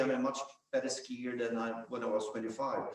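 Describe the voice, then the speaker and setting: A man speaks fairly quickly with a Swedish accent. Noticeable background noise and audible room echo are present. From Sweden. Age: 60s. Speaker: business founder and ski coach. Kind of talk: panel discussion.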